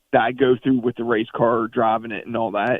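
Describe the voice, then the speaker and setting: Fairly quick delivery from a man, his pitch in the medium range. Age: 50s. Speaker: race car driver. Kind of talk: interview. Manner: halting.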